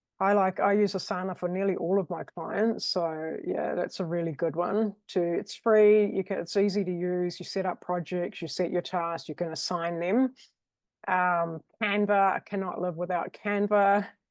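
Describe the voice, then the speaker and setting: The speaker has a New Zealand accent and talks at a moderate pace. Intonation stays fairly even over a quiet background. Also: woman, medium pitch for a woman. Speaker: virtual assistant. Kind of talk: casual interview chat.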